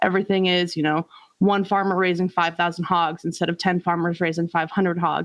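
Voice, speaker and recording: In a Midwestern American accent, a woman speaks with monotone, flat intonation and very even loudness over a quiet background. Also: fairly quick pace. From rural Iowa. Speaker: community organizer. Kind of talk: interview testimony.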